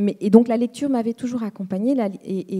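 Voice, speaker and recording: A woman talks with a dark, mellow tone, somewhat breathy, her pitch varying in an ordinary way. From Rwanda. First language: Kinyarwanda (speaking French). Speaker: writer on a literary panel. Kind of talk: panel discussion. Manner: halting, many hesitations and repetitions.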